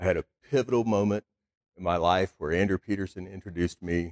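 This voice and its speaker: A man speaks at a fairly quick pace in a Texan accent, his pitch very deep and low. The sound is dry and close, with no echo. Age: 40s. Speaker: car dealer. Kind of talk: speech.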